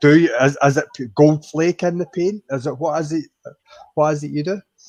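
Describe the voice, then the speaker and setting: With fairly even intonation and a fairly high pitch, a man speaks at a moderate pace in a dry, close sound with no echo. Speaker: motorcycle vlogger. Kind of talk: casual chat.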